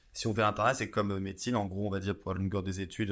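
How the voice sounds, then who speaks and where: On a very clean recording with a silent background, a man with a fairly low pitch speaks very fast in a monotone, flat delivery. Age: 20s. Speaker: pharmacy student. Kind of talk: casual interview.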